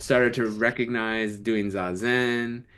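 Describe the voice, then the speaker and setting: A man with an American accent at a very slow pace, against a quiet background. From US Midwest, Illinois. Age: 40s. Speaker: sociology teacher and Zen practitioner. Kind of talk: casual podcast conversation.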